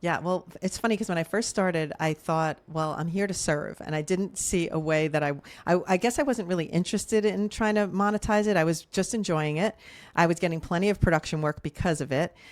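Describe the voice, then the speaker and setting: A woman's plain, everyday voice, fairly low in pitch with ordinary pitch variation and a fairly quick pace, in a very clean recording with a silent background. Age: 60s. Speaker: social media creator and TV producer. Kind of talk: interview.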